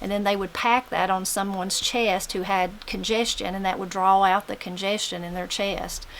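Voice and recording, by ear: With an Appalachian accent, a woman speaks at a fairly quick pace and medium pitch in a monotone, flat delivery with hardly any pauses.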